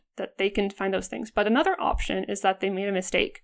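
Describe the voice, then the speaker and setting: Against a silent background in a very clean recording, a woman talks at a medium pitch. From Alberta, Canada. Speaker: graduate student researcher. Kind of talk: interview. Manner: halting, many fillers.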